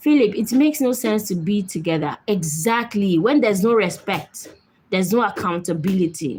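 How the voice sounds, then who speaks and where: In a Nigerian accent, the voice sounds somewhat breathy and has lively intonation. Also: woman, medium pitch for a woman. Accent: Nigerian, noticeable. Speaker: live-stream host. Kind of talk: live stream chat with viewers. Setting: live video stream. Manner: speaking gently and slowly to be understood.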